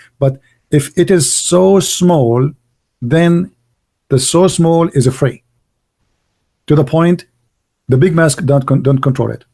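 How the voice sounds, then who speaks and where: Somewhat breathy and dark, mellow in tone, a man with a non-native accent speaks very slowly at a fairly high pitch with long, frequent pauses, on a very clean recording with a silent background. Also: ordinary pitch variation. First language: not English. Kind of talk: debate.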